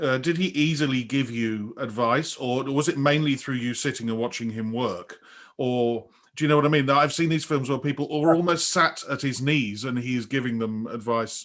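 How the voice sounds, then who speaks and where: The voice is an ordinary speaking voice at a moderate pace, with ordinary pitch variation. The background is quiet. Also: man, medium pitch for a man. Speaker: conductor and podcast host. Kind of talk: podcast interview questions.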